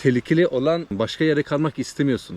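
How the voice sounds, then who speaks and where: Fairly quick speech in a dark, mellow tone, with ordinary pitch variation. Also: man. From Sweden, Trollhättan (Turkish parents). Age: 30s. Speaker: vlogger. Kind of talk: casual vlog monologue. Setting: outdoors by a lake in a forest. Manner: casual, hesitant with many fillers.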